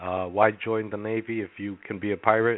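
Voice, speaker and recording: A man speaks with a fairly low pitch. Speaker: caller. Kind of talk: casual chat.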